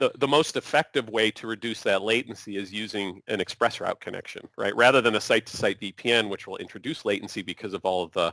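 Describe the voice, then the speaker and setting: In a very clean recording with a silent background and a dry, close sound with no echo, a man talks at a very fast pace with hardly any pauses, his medium-pitched voice bright and sharp in tone and ordinary in its pitch variation. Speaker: cloud solutions presenter. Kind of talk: workshop Q&A answer.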